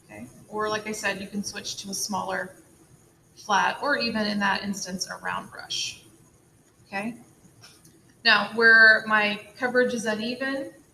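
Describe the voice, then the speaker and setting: A woman with a fairly high voice talks at moderate speed, her intonation fairly even, while noticeable background noise plays. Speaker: art teacher. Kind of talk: tutorial.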